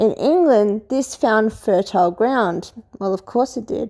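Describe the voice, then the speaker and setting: Speaking very slowly, a woman has a dark, mellow tone and a fairly high pitch. Her intonation is lively, in an Australian accent. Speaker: history commentator. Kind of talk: casual lecture. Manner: hesitant, with fillers.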